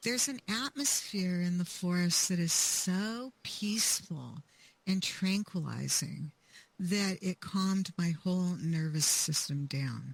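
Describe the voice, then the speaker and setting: A woman's fairly low, somewhat breathy voice at a very slow pace, with ordinary pitch variation and very even loudness. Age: 70s. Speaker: author. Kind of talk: interview.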